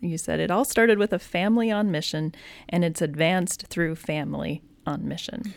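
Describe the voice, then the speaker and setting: On a very clean recording with a silent background, a woman with a plain, everyday voice and a fairly low pitch talks at a fairly quick pace. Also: ordinary pitch variation. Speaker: podcast host. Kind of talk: casual chat.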